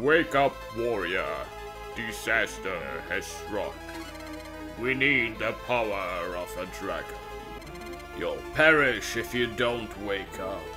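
Loud music plays in the background as a man uses a put-on character voice at a fairly slow pace. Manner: commanding.

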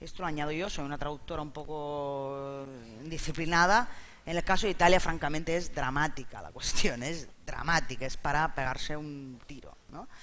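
Over light background noise, a man speaks fairly quickly with fairly even intonation. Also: fairly high pitch for a man. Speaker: interpreter; interpreter at a panel. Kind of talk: live interpreting summary. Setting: stage with audience. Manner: halting. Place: hall.

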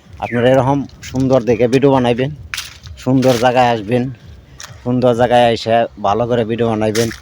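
A man's medium-pitched voice stays flat and monotone against noticeable background noise. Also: very even loudness. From Bangladesh, Gazipur near Dhaka. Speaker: video content creator. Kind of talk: casual vlog talk to camera. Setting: outdoors in a rice field.

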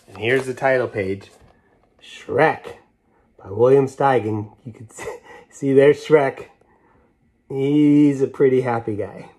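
Over a quiet background, a man speaks at a fairly slow pace with ordinary pitch variation and long, frequent pauses. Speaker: children's book read-aloud host. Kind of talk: storytelling read-aloud to children. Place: home room. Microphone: phone near.

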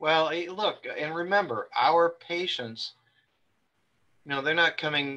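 Against a quiet background, a man speaks at a very slow pace with long, frequent pauses. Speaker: webinar moderator and publisher; webinar moderator. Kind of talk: webinar moderation. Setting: video call. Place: home room. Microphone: video call.

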